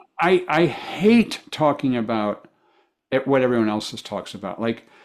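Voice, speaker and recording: Medium male pitch at a moderate pace, with lively intonation and big swings in loudness. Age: 60s. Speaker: author and marketing speaker. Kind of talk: interview conversation. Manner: halting, many repetitions.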